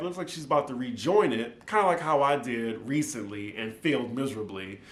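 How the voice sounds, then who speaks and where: Very wide pitch swings from a man with an American accent, over noticeable background noise. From New Orleans, Louisiana. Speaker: TV recap YouTuber. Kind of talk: casual talk to camera.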